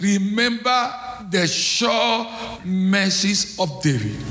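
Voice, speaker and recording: Raising and projecting his high-pitched voice, a man speaks with lively intonation over noticeable background noise. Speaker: visiting preacher. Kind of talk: sermon. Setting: church. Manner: emphatic, call-and-response.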